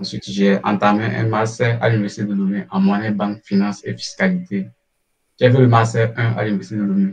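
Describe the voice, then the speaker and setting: Delivered at a fairly quick pace, a man's unremarkable speaking voice sits fairly low, with ordinary pitch variation. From Togo. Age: 20s. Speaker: scholarship student. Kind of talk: interview. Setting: online live stream.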